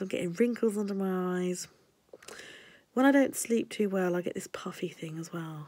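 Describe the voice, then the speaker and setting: In an English accent, a woman talks at a fairly quick pace with a medium pitch and ordinary pitch variation. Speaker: stationery vlogger. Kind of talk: casual vlog.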